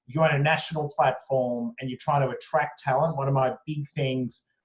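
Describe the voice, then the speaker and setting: A somewhat breathy man with an Australian accent speaks fairly quickly at a fairly high pitch, his intonation fairly even. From Australia (Sydney). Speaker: company executive. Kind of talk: interview. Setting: video call from home attic. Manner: hesitant, many fillers.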